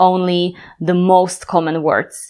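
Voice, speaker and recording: A woman's medium-pitched voice with a Slovak accent and monotone, flat intonation. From Slovakia, Bratislava. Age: 30s. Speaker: language teacher. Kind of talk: tutorial.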